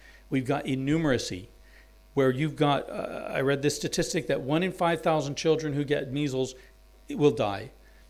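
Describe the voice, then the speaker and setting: In an American accent, an unremarkable speaking voice moves at a moderate pace with ordinary pitch variation. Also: man, fairly high pitch for a man. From US South, Alabama. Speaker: university dean and anthropologist. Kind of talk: symposium talk.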